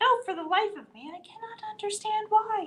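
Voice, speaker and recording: Putting on a squeaky character voice, a woman speaks in an extremely high pitch with ordinary pitch variation and big swings in loudness. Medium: read story.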